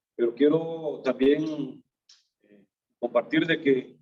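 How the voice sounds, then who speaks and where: At a fairly slow pace, a man speaks with fairly high pitch. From Honduras, Tegucigalpa. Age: 60s. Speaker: businessman, fellowship member. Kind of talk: testimony.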